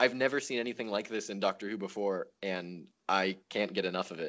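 A man talks at a fairly quick pace in a normal speaking voice. His pitch variation is ordinary. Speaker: podcast guest. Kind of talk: casual chat.

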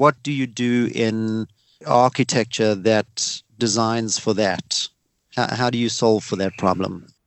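A man with a South African accent talks at a very slow pace. His medium pitch shows ordinary variation. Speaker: podcast host. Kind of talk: casual interview.

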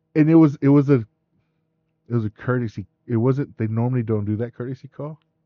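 With an American accent, a man talks at a fairly quick pace in an unremarkable speaking voice, medium in pitch and fairly even in intonation. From West Texas (Midland). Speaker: podcast co-host. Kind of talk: casual chat.

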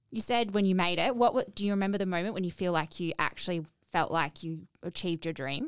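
The speaker talks at a very fast pace with an Australian accent. The pitch rises and falls in an ordinary way. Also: woman, medium pitch for a woman. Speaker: podcast host. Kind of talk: casual interview chat. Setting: studio.

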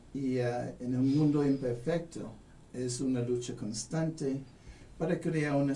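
With a non-native accent, a man speaks very slowly at medium pitch. His intonation is fairly even, and room echo is audible. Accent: foreign accent in Spanish. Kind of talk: radio interview.

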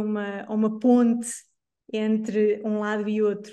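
This woman's dark, mellow tone holds a flat, monotone intonation. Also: quiet background. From Portugal, São João da Madeira. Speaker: choreographer. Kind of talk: interview. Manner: halting, many fillers.

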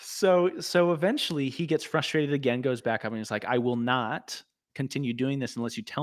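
The pace is moderate and the pitch varies in an ordinary way. It is a plain, everyday voice. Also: man. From Arizona, US. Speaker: guest, recovering addict. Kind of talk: casual chat. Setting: video call.

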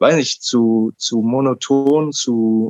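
A man talks at a medium pitch with fairly even intonation. The sound is dry and close, with no echo. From Berlin, Germany. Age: 20s. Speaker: podcast guest, self-directed learner. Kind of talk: interview, personal story. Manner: halting, many fillers.

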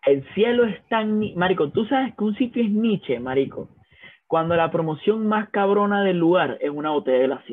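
With a Venezuelan accent, a man speaks at a high pitch and a moderate pace, his intonation lively. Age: 20s. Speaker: podcast co-host. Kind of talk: casual chat.

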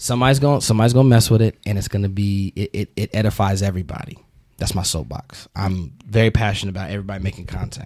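A man's fairly low voice rushes along at a very fast pace. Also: ordinary pitch variation. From Alabama, Huntsville. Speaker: comedian and comedy booker. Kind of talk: casual interview chat.

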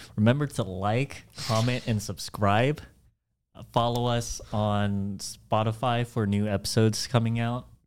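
A man with a plain, everyday voice talks at a medium pitch and a fairly slow pace, keeping his intonation fairly even. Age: 20s. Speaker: podcast co-host. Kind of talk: casual chat.

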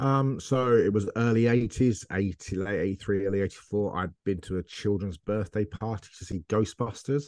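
With an English accent, a man speaks at a moderate pace with hardly any pauses, his fairly low pitch varying in an ordinary way against a quiet background. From England. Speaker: football media presenter and analyst. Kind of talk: casual interview chat.

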